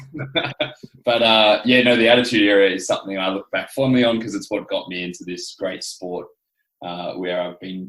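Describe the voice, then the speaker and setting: Speaking with an Australian accent, a man uses a medium pitch, ordinary pitch variation and a moderate pace. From Adelaide, South Australia. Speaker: professional wrestler. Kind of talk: podcast interview.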